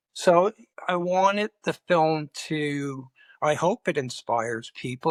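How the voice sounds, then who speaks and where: In a very clean recording with a silent background and a dry, close sound with no echo, a man with a Canadian accent uses an unremarkable speaking voice and ordinary pitch variation. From Montreal, Quebec. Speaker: documentary filmmaker and photographer. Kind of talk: interview.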